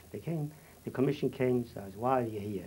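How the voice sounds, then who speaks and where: Music plays in the background as a man talks very fast at a medium pitch with ordinary pitch variation. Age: 70s. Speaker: Holocaust survivor. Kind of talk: testimony. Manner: halting.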